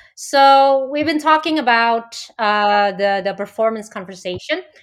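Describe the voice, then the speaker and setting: A woman with an Indonesian accent speaks in a fairly high voice with lively intonation, recorded very cleanly against a silent background. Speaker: corporate coach. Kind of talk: interview.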